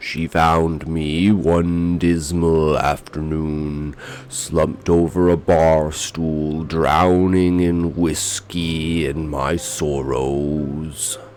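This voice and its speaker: Over clear background noise, a man speaks very slowly at a very deep, low pitch with fairly even intonation. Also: hardly any pauses. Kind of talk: horror narration. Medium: read story. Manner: somber, brooding.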